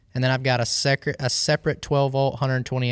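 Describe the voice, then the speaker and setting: A man's medium-pitched, monotone, flat voice in a dry, close sound with no echo and a very clean recording with a silent background. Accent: Southern US. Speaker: professional angler. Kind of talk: casual chat.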